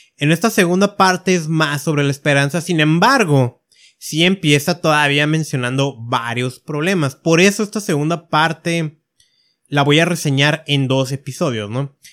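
On a very clean recording with a silent background, a man speaks fairly slowly in a fairly high voice with ordinary pitch variation. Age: 30s. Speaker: podcast host. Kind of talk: solo podcast monologue. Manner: hesitant with filler words.

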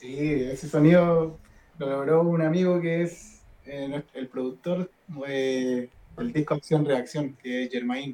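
This man talks at a very slow pace, his fairly high pitch showing ordinary pitch variation. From northern Chile, Diego de Almagro. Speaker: rock guitarist. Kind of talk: casual chat. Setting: live stream.

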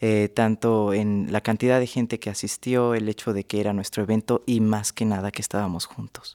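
Dry and close with no echo, a very clean recording with a silent background captures a man's fairly low voice in a monotone, flat delivery. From Mexico City. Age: 20s. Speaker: cartoonist. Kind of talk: radio interview. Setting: studio.

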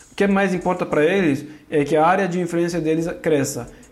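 A man's fairly high voice at a fairly quick pace, fairly even intonation and audible room echo. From Turkey, Kurdish. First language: Turkish or Kurdish (speaking Portuguese). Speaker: religion scholar. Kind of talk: interview. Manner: halting, many fillers.

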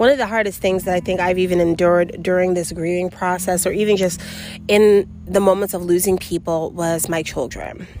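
With an American accent, a woman talks at a fairly quick pace in a medium pitch and fairly even intonation, over noticeable background noise. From New York City. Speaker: podcast host. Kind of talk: personal monologue. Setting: outdoors.

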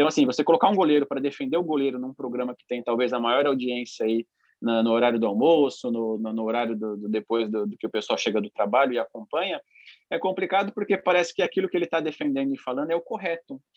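A man talks very fast at a medium pitch. His intonation is lively, with big swings in loudness. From São Paulo, East Zone (Itaquera). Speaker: professional football goalkeeper. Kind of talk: podcast interview. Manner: calm, relaxed, laughing.

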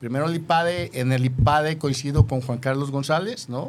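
With ordinary pitch variation, the voice is a normal speaking voice. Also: man. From Jalisco, Mexico (rural Yahualica). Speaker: businessman. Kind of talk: interview.

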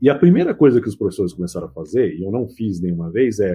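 At a very fast pace, a man speaks in a somewhat breathy voice at a medium pitch. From São Paulo ABC region (Mauá), Brazil. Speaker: IT professor. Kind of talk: casual chat.

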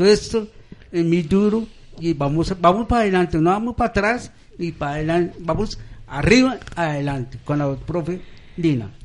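High-pitched male voice at a moderate pace, with lively intonation. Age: 50s. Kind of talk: live radio chat. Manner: halting.

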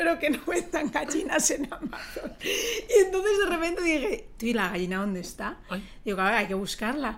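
Noticeable background noise is present throughout. Over it, the voice's pitch ranges very widely. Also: woman, high pitch for a woman, moderate pace. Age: 30s. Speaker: YouTuber. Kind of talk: casual chat.

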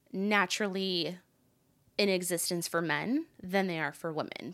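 A woman with a plain, everyday voice speaks at a fairly low pitch in a very clean recording with a silent background. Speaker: empathic energy and leadership consultant. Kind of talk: casual interview.

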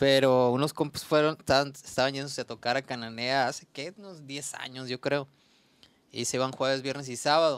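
A man talks at a fairly quick pace in a normal speaking voice, medium in pitch with fairly even intonation. His loudness swings widely, on a very clean recording with a silent background. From Mexico, Sonora (Ures). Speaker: musician. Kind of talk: casual chat.

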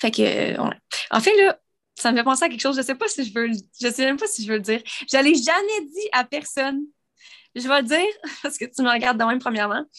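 Her voice high in pitch, a woman talks at a fairly quick pace with very wide pitch swings. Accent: Quebec. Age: 20s. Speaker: podcast co-host and YouTuber. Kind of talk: casual chat.

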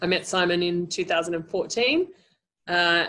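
A woman speaks in an Australian accent. Her pitch variation is ordinary. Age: 40s. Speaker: life coach and NLP trainer. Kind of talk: interview.

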